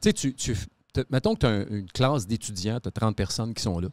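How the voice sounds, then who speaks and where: A man at a fairly quick pace with ordinary pitch variation, a quiet background, and a dry sound with no echo. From Quebec City; Quebec. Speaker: podcast host. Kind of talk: casual chat. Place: studio. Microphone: studio mic.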